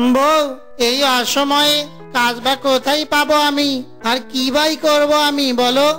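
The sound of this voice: A cartoonish character voice speaks over clear music in the background. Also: moderate pace.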